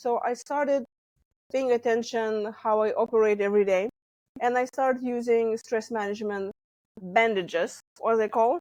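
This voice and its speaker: With a slight Lithuanian accent, a woman speaks at a fairly high pitch with ordinary pitch variation, the sound dry and close with no echo. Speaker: stress management coach. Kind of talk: interview.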